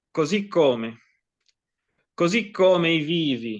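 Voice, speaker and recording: This man has an Italian accent. He talks very slowly. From Italy. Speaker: poet. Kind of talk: poetry reading.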